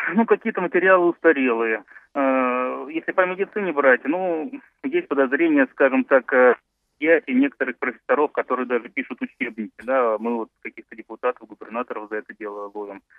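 Lively intonation from a man at a medium pitch, with a moderate pace and big swings in loudness. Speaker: radio caller, doctor and lawyer. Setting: phone call. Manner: halting.

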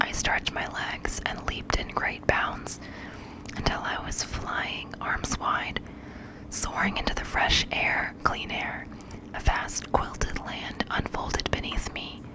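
Whispering and soft-spoken, a woman speaks at a very slow pace over noticeable background noise. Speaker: audiobook narrator. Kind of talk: fiction read-aloud narration. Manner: soft close-mic whispered reading. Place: home room. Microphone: studio mic.

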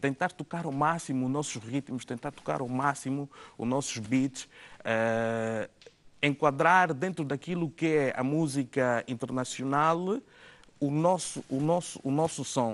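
A man with a fairly high pitch talks at a fairly slow pace, using lively intonation. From Angola. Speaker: DJ and music producer; DJ. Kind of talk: interview; interview answer. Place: studio.

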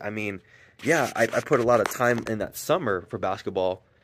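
A man talks at a moderate speed over light background noise. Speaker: vlogger. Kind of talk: casual vlog chat. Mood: reflective, earnest. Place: garden. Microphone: phone near.

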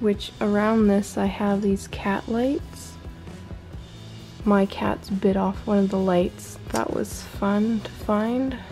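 A woman's fairly even intonation over clear music in the background. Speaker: room tour vlogger. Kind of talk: casual show-and-tell tour. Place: home room.

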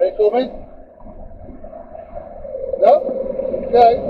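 A man is speaking here. Noticeable background noise is present. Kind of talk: muttered driving commentary. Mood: irritated, sarcastic at times. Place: car. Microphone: camera far.

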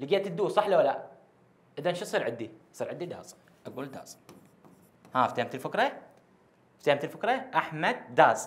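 A man with an Iraqi accent talks at a moderate pace and a high pitch, with very wide pitch swings, big swings in loudness, and long, frequent pauses. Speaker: English teacher. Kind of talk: lecture. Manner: repetitive, emphatic. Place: classroom. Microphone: lapel.

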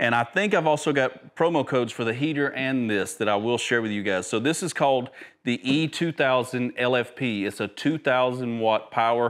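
A man at a moderate pace, with few pauses and ordinary pitch variation. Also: medium pitch for a man.

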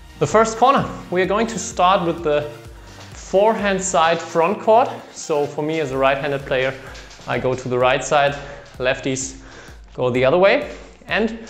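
A man at a moderate pace with long, frequent pauses, faint music in the background. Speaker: badminton coach. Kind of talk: tutorial. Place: empty room. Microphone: camera far.

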